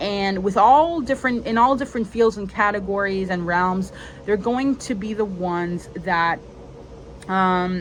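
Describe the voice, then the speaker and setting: Speaking at a fairly slow pace, a woman uses a plain, everyday voice at medium pitch with ordinary pitch variation. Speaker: spiritual content creator. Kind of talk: solo video monologue. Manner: casual, many fillers.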